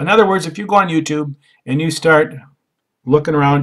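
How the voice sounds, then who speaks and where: Ordinary pitch variation in a man's fairly high-pitched voice. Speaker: online marketer. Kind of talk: tutorial. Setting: home office. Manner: slow; halting, many filler sounds.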